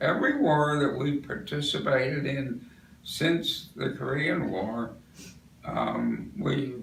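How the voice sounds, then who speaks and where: A man with an American accent speaking at a very slow pace, with audible room echo and noticeable background noise. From US Northeast. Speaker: war veteran. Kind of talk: oral history interview. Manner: halting.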